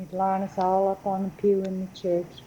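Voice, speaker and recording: Somewhat breathy, with a dark, mellow tone, a woman speaks at a moderate pace in a Louisiana accent. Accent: southern US (Louisiana). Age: 70s. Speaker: local resident. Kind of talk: oral history interview. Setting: chapel.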